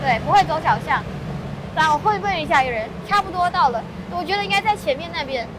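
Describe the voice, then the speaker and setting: A high-pitched woman with a Malaysian accent, very wide pitch swings, a fairly quick pace, long, frequent pauses and noticeable background noise. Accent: Malaysian Chinese Mandarin. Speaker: local friend and guide. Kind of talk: casual chat. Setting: outdoors walking in city.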